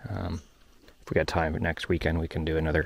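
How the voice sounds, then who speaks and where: Here a man talks at a fairly quick pace. His voice is very deep and low, and somewhat breathy. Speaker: equipment operator vlogger. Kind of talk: casual vlog narration. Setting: outdoors.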